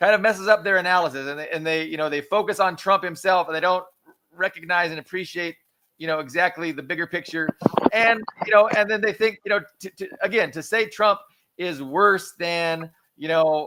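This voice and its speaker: A man speaks at a high pitch. His loudness swings widely from moment to moment. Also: ordinary pitch variation, fairly quick pace. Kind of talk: heated debate. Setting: live stream.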